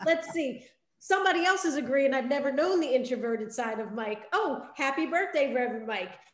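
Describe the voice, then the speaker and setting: A woman talks at a fairly quick pace in a high pitch with lively intonation. Room echo is audible around her. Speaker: podcast co-host. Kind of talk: interview. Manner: energetic.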